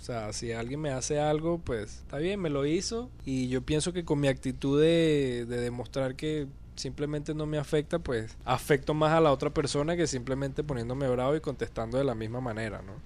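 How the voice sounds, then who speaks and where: A plain, everyday voice moves at a moderate pace with ordinary pitch variation and hardly any pauses. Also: man, medium pitch for a man. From Venezuela. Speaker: podcast guest. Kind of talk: casual chat.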